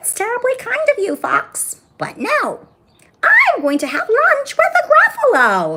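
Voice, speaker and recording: This put-on character voice is squeaky and extremely high in pitch. It moves at a fairly slow pace with very wide pitch swings. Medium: read story. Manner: polite, confident.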